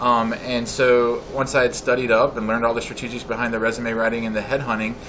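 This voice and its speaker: A man with an American accent talks very fast at a medium pitch, his intonation monotone and flat. Audible room echo and noticeable background noise fill the recording. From central Illinois, US Midwest. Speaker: resume writer and recruiter, business owner. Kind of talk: interview. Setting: coffeehouse.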